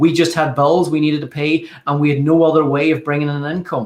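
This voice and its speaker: A fairly quick, fairly high-pitched man's voice with an Irish accent. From Ireland. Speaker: network marketer, former carpenter. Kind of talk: live video call testimony.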